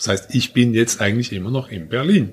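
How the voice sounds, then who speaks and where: Noticeable background noise runs under the voice. Its pitch variation is ordinary. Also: man. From Switzerland, Basel. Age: 50s. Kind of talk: casual chat.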